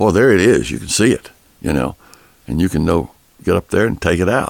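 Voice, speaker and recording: Through long, frequent pauses, a man with a very deep, low pitch and vocal fry swings his pitch very widely. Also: dry, close sound with no echo. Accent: East Texas. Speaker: recording studio owner and producer. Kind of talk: interview. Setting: studio.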